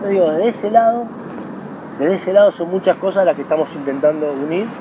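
With a Rioplatense accent, a man talks at a very fast pace with lively intonation, the sound dry with no echo and noticeable background noise. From Argentina. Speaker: former tennis pro and federation executive; interviewee. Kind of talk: interview. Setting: tennis club. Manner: animated. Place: garden.

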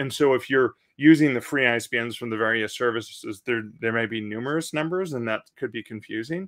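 Against a quiet background, a man speaks with a Canadian accent and ordinary pitch variation. His pace is fairly quick. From Canada. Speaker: author and publishing podcast host; publishing podcast host. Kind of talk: live Q&A stream. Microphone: studio mic.

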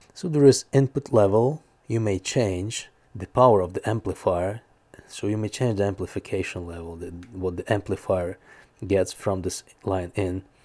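In an ordinary speaking voice, a man talks at a moderate pace and a fairly low pitch, with ordinary pitch variation, big swings in loudness and a quiet background. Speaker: gear reviewer. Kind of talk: product review talk. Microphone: lapel.

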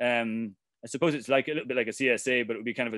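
Very fast and at a medium pitch, a man speaks with an Irish accent, the sound dry with no echo and the background quiet. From Ireland. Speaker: farmer and activist. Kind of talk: presentation. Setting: video call.

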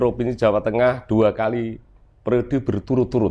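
The intonation stays flat and monotone. It belongs to a man. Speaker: podcast host. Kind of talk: interview. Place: garage. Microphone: lapel.

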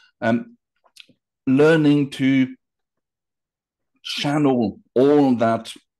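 Speaking with a French accent, a man has a dark, mellow tone against a quiet background. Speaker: hypnotherapist. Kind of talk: interview answer. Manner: casual, hesitant. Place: home room. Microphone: video call.

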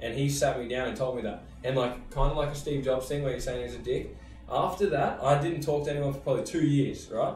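A man with an Australian accent talks fairly quickly at a fairly high pitch, with audible room echo and faint music in the background. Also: ordinary pitch variation. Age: 20s. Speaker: podcast host, extreme sports rider; podcast host. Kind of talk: casual chat. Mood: relaxed, candid. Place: studio.

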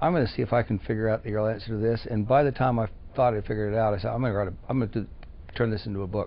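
At a very fast pace, a man delivers his words with fairly even intonation. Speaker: interviewee. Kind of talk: interview answer. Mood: earnest, opinionated. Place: office. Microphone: lapel.

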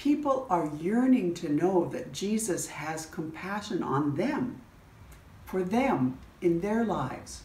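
Audible room echo surrounds a woman speaking at a very slow pace. Her pitch swings very widely. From Canada. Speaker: church bishop. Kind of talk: sermon. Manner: earnest, pleading. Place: home room. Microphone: phone near.

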